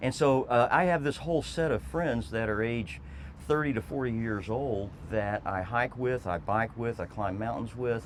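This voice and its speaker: A man with an American accent and an unremarkable speaking voice talks at a moderate pace and a medium pitch, his intonation lively. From Texas. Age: 60s. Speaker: former state legislator and trail advocate. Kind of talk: interview.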